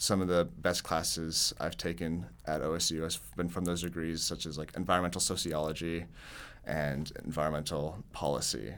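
A man's very deep, low voice with vocal fry and an American accent, at a moderate pace. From Oklahoma, Tulsa. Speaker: graduating college student. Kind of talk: interview.

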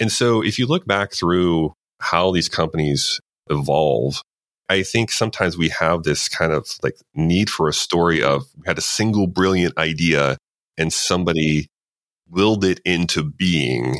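A man's very deep, low voice with vocal fry, at a fairly slow pace and with ordinary pitch variation. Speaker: author and consultant. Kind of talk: casual interview.

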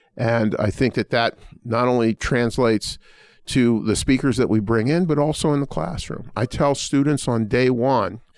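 Recorded very cleanly with a silent background and a dry, close sound with no echo, a man with an ordinary speaking voice talks at a medium pitch and moderate pace with ordinary pitch variation. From Pittsburgh, US. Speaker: law school dean. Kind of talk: interview.

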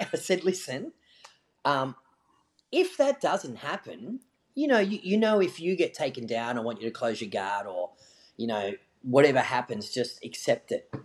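A man with an Australian accent, fairly high-pitched, with very wide pitch swings, a moderate pace and long, frequent pauses, against a quiet background. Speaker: jiu-jitsu coach and podcast co-host. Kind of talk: casual chat, interview. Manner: loud, animated when coaching.

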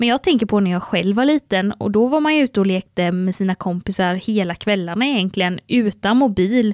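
Over a very clean recording with a silent background, a woman talks in a plain, everyday voice at a medium pitch and a fairly quick pace, with ordinary pitch variation, very even loudness and a dry, close sound with no echo. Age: 20s. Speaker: podcast co-host, communications officer. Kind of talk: casual chat.

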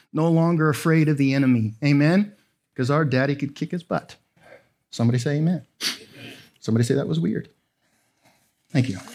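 A man speaks in an animated tone at a fairly quick pace, his pitch fairly high with ordinary variation. He leaves long, frequent pauses. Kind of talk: sermon. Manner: animated, self-deprecating, humorous, with frequent 'amen?' calls to the crowd.

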